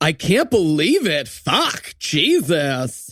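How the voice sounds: In a very clean recording with a silent background, a man puts on a character voice at a fairly high pitch, with a fairly bright tone, a slightly husky edge, very wide pitch swings and a very slow pace.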